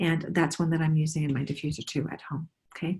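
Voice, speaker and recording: A somewhat breathy woman. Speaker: essential oils presenter. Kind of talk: product presentation to online group. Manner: fast.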